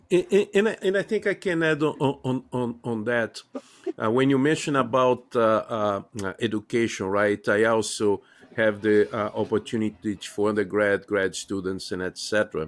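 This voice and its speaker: A man speaks at a medium pitch. His pace is moderate and his pitch variation ordinary. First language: not English. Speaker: podcast host and university teacher. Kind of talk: interview conversation. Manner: halting, many filler sounds.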